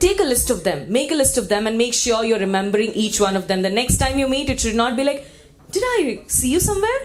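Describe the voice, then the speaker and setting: Loud and energetic, a woman speaks in an animated tone at a high pitch with very wide pitch swings, and room echo is audible. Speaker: event emcee. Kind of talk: live event hosting, crowd engagement. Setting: conference hall with audience, PA. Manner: energetic, animated.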